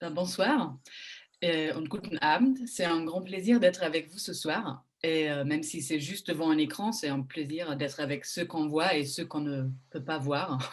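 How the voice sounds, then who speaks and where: This woman has a very deep, low voice and a German accent. She talks at a fairly slow pace with ordinary pitch variation. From Germany. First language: German (speaking French). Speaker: journalist moderating a panel. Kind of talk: panel moderation. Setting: online panel in front of a screen. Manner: hesitant, many fillers.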